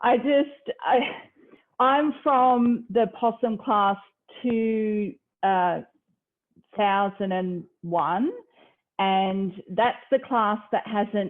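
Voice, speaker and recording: With a slight Australian accent, a woman speaks with long, frequent pauses. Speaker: university lecturer, space program trainee. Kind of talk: informal talk at online event.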